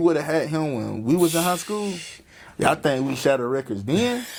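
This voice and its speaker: A man speaks at a fairly quick pace. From North Carolina (Wingate). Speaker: podcast host. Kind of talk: casual interview chat.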